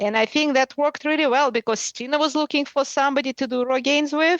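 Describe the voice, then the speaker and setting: Speaking with a Russian accent, a woman keeps a fairly quick pace. The sound is dry and close, with no echo. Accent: Russian, pronounced. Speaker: adventure racer. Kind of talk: interview.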